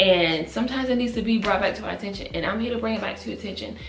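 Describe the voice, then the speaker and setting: A woman speaks in an animated tone with ordinary pitch variation. Music plays in the background, and the room echo is audible. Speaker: vlogger. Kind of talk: motivational faith vlog. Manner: fast.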